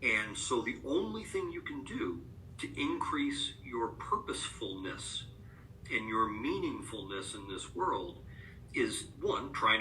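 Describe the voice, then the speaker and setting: A man speaks with an American accent. Room echo is audible in the recording. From US Northeast, upstate New York. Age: 50s. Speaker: author and rare disease advocate. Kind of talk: podcast interview. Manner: hesitant, many filler words; reflective.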